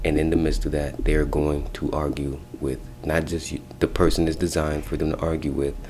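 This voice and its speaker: A man speaks quietly at a fairly quick pace with a very deep, low pitch. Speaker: spiritual practitioner offering spell services. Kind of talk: casual advice video. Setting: office. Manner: quiet, talking low.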